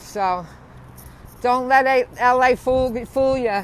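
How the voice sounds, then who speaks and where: In a strong New Jersey accent, a woman talks at a fairly high pitch. Her pitch variation is ordinary. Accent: strong Bayonne New Jersey. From New Jersey, Bayonne. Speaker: vlogger. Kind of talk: casual live stream narration. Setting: outdoors riding a bicycle. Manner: casual, chatty.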